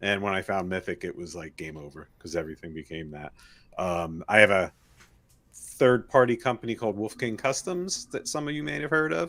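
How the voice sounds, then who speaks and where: A man with a New Jersey accent speaks with very wide pitch swings. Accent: New Jersey American. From New Jersey, US. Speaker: podcast co-host and toy parts maker. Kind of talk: casual chat.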